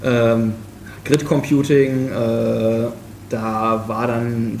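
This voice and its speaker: Noticeable background noise and audible room echo surround a man's voice. He speaks at a medium pitch with monotone, flat intonation. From western Germany, Krefeld. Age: 20s. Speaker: software developer. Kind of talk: casual chat. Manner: halting, many fillers.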